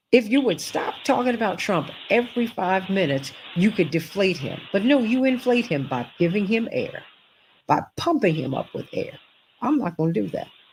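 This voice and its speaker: Speaking with an American accent, a woman of medium pitch uses vocal fry and very wide pitch swings. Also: moderate pace. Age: 60s. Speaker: talk show host. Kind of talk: political talk show commentary. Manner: animated.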